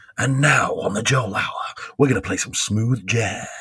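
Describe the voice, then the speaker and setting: Using a put-on character voice, a man speaks at a moderate pace with ordinary pitch variation. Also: medium pitch for a man. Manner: smooth, announcing.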